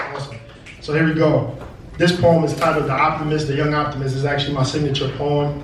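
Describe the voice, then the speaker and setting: Over noticeable background noise, a man with an American accent talks very fast. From Brooklyn, New York. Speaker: spoken word poet. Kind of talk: live stage talk to audience. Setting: live venue. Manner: upbeat, energetic.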